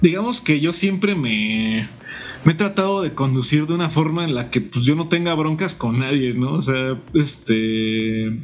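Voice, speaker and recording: An unremarkable speaking voice from a man, fairly high in pitch, at a fairly slow pace. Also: lively intonation. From Mexico, Morelia, Michoacán. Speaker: guitarist and music teacher. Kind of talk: interview.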